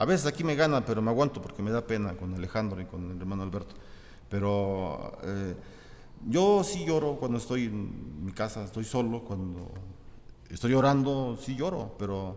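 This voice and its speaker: There is audible echo in the room. A man with a medium-pitched voice talks at a moderate pace. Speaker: pastor. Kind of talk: sermon. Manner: halting, repetitive.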